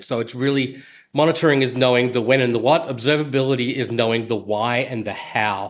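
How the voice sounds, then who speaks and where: In a very clean recording with a silent background, a man with an Australian accent speaks at a medium pitch and a fairly quick pace. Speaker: software engineer. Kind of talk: conference talk. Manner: many fillers (uh, um).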